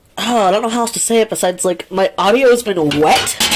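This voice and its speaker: The intonation is lively and the pace moderate. Noticeable background noise sits behind the voice. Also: woman. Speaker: vlogger. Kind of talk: casual vlog talk. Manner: rambling, scattered.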